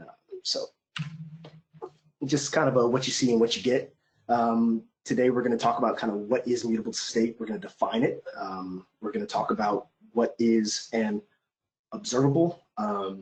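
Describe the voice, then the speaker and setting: A man speaks at medium pitch with ordinary pitch variation. His speech has long, frequent pauses. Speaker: software developer giving a talk. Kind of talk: technical presentation. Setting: online meeting. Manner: fast; many filler words.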